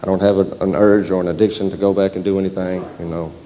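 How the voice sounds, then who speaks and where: A man with a Southern US accent speaks very fast in a very deep, low, monotone voice with flat intonation. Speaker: program participant giving testimony. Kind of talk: testimony.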